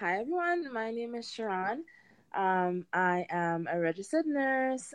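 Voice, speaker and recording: With a Trinidadian accent, a woman speaks at a fairly slow pace with lively intonation. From Trinidad and Tobago. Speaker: home gardener. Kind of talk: interview.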